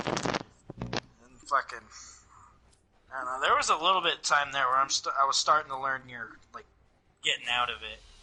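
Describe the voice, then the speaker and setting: A man's fairly high-pitched voice at a moderate pace, with ordinary pitch variation, long and frequent pauses, big swings in loudness and noticeable background noise. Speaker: gaming podcast co-host. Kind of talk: casual chat.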